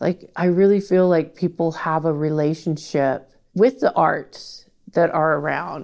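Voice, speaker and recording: A woman with an American accent speaks at a moderate pace in an ordinary speaking voice, her pitch fairly low and her intonation fairly even. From Portland, Oregon, US Pacific Northwest. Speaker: artist and arts organization director. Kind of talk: interview conversation.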